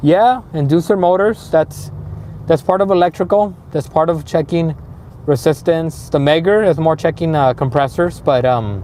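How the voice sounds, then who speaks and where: A man with a Spanish accent speaks at a moderate pace in a fairly high voice, his loudness very even. His intonation is lively, and background noise is noticeable. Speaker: HVAC instructor. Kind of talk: live stream chat. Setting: live stream. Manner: halting, many fillers.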